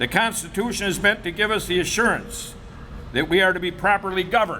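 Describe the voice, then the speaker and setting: Over noticeable background noise, a man with an American accent speaks in a raised, projected voice, high in pitch with ordinary pitch variation. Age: 70s. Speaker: barber. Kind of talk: press conference statement. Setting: press conference.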